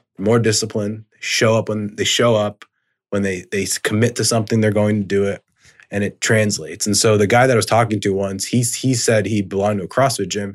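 A man talks at a very fast pace with fairly even intonation in a very clean recording with a silent background. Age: 30s. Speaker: rehab chiropractor and business coach. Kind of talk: interview. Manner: casual, filler-heavy.

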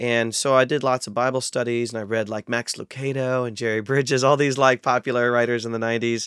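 A man with an American accent, medium pitch, and monotone, flat intonation, talking very fast with hardly any pauses. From US Midwest, north central Ohio. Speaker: biblical scholar and Bible translator. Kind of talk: interview conversation.

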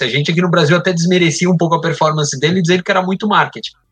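With music in the background, a man speaks in a high-pitched voice. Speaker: sports marketing media executive. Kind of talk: casual chat.

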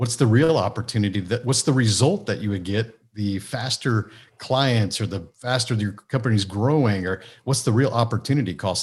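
Somewhat breathy and fairly low in pitch, a man talks at a fairly quick pace in a very clean recording with a silent background. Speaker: business mentor and author. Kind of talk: interview. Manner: down to earth.

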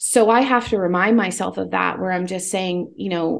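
A woman speaks at a moderate pace in a fairly low voice with vocal fry. Her intonation is lively. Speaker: author. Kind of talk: casual chat.

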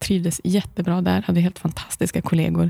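The speaker is a woman. Her voice sounds dry and close, without any echo. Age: 40s. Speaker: blogger and author. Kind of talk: casual interview. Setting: studio.

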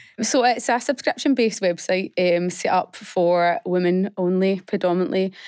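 On a very clean recording with a silent background and a dry, close sound with no echo, a woman with an unremarkable speaking voice talks at a medium pitch with ordinary pitch variation, very even loudness and hardly any pauses. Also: moderate pace. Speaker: fitness business founder. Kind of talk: radio interview. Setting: studio.

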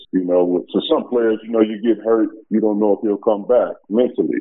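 This is a man speaking. He has an American accent. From US Midwest (Chicago). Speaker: former pro basketball player. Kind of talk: interview.

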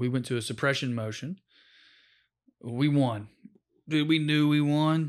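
In an American accent, the speaker uses an animated tone at a fairly slow pace with long, frequent pauses, on a very clean recording with a silent background. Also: man, fairly high pitch for a man. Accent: Southern US, Tennessee, slight now. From rural Tennessee, US. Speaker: comedian and former public defender. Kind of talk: casual interview. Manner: animated, joking.

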